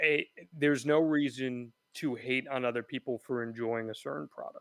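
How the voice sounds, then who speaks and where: A man's normal speaking voice with an American accent, fairly high in pitch and at a moderate pace, dry and close with no echo in a very clean recording with a silent background. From New Jersey. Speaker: wrestling reporter and podcast host. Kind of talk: radio interview.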